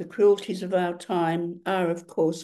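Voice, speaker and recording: A dark, mellow tone marks this woman's fairly low-pitched voice. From Australia. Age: 80s+. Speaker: writer and activist. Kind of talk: lecture. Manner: formal.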